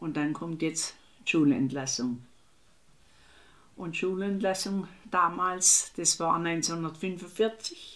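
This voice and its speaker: Her pitch fairly low with ordinary variation, a woman speaks at a very slow pace. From Baden, Germany (Oberweier near Ettlingen). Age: 80s+. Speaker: war eyewitness. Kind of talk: oral history interview.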